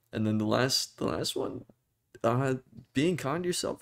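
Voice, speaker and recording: A man speaks at medium pitch. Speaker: vlogger. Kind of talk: personal talk to camera.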